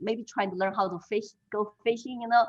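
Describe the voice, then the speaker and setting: A woman with a Chinese accent speaks in a fairly high pitch. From China. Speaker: political candidate, interviewee. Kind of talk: interview conversation. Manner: halting, many fillers.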